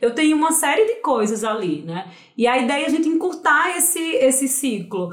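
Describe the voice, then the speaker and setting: Noticeable background noise runs behind a woman with a high voice and a Pernambuco accent, who speaks at a moderate pace with very wide pitch swings. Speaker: nutritionist. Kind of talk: podcast interview.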